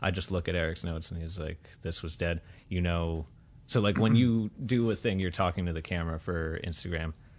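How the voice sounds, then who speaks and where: Against a quiet background, a man talks at a fairly quick pace in a very deep, low pitch with fairly even intonation. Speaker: podcast host. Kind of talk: casual chat. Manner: halting, with delays mid-speech; frequent pauses and fillers.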